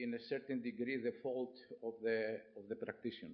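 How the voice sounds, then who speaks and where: The man talks at a moderate pace in a monotone, flat intonation. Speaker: professor. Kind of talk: lecture. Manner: halting.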